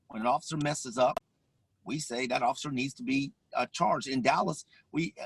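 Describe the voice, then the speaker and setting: The recording is dry and close with no echo as a man speaks at medium pitch and a fairly quick pace. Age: 50s. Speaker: police officer. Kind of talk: panel discussion. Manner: halting.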